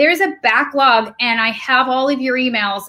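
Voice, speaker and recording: A woman with an American accent speaks at a high pitch in a bright, sharp tone with ordinary pitch variation, on a very clean recording with a silent background. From New York. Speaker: livestream co-host. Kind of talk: casual chat. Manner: loud when yelling.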